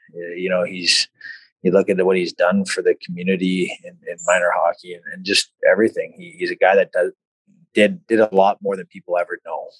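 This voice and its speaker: A man with a Canadian prairie accent talks at a fairly quick pace with big swings in loudness. The sound is dry and close with no echo. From Saskatchewan, Canada. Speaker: former hockey player, development coach. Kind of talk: casual interview. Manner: halting, many repeated words and fillers.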